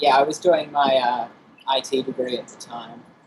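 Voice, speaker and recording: A fairly high-pitched male voice with an Australian accent, at a moderate pace. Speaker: game producer. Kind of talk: interview.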